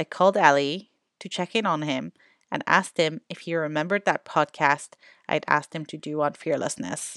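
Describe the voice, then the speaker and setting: A normal speaking voice comes at a moderate pace with ordinary pitch variation. The sound is dry and close, with no echo. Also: woman, quiet background. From Canada. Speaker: podcast host and educator. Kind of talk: podcast introduction.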